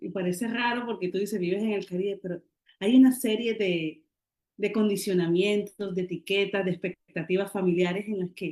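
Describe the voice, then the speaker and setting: A woman uses an ordinary speaking voice with fairly even intonation at a moderate pace. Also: medium pitch for a woman. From Colombian Caribbean, Barranquilla. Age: 40s. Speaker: writer and poet. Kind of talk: interview.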